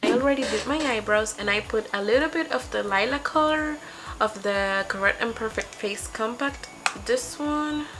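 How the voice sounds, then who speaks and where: A woman with a Spanish accent, fairly high pitch, lively intonation and a moderate pace, over noticeable background noise. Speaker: beauty vlogger. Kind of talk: makeup tutorial. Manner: casual, slightly halting.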